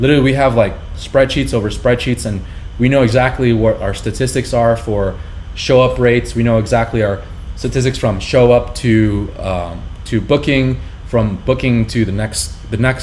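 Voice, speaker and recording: At a moderate pace and medium pitch, a man has an unremarkable speaking voice with ordinary pitch variation. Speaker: business owner teaching marketing. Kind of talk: tutorial.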